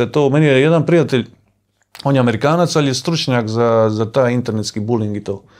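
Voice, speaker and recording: A man speaks with a Dalmatian accent. His pitch varies in an ordinary way against a quiet background. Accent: Dalmatian Croatian. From Dalmatia, Croatia (Omiš); Dalmatia, Croatia. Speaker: adventurer and travel vlogger; travel vlogger. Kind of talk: casual chat. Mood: calm, reflective. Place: home room. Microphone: lapel.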